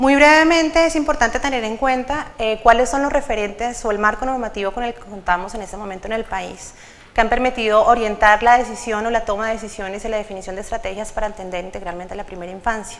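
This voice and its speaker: A woman talks at a very fast pace with hardly any pauses. Her loudness swings widely while her pitch variation stays ordinary. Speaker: government official presenting policy. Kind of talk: conference presentation.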